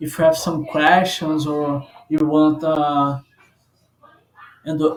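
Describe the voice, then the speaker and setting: A man with a non-native accent, fairly high pitch and a very slow pace. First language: not English. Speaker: software developer. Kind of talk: tutorial. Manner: halting, many fillers.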